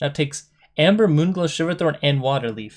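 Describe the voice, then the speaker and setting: Very fast and with ordinary pitch variation, a man speaks on a very clean recording against a silent background. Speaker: gaming content creator. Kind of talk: reading changelog with casual commentary. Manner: casual, halting with self-corrections.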